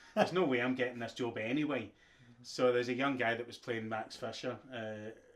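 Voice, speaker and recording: A man with a Glaswegian accent talks fairly quickly at medium pitch, his loudness swinging widely. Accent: Glaswegian Scottish. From Scotland, Glasgow. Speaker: actor. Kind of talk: casual interview chat. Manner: animated.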